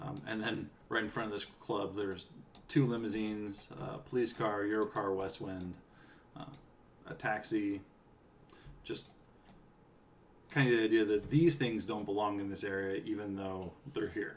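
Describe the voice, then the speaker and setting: A relaxed man with an American accent speaks at a moderate pace, his pitch fairly low. His pitch moves in an ordinary way, broken by long, frequent pauses. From US West Coast, California. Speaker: game writer streaming a playthrough. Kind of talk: casual live-stream commentary. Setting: live stream at home. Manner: relaxed, with frequent fillers.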